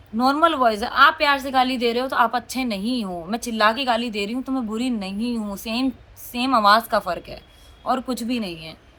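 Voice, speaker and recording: A loud woman's voice, fairly high-pitched, with a bright, sharp, animated tone, ordinary pitch variation and a moderate pace. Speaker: vlogger. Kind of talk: casual vlog talk.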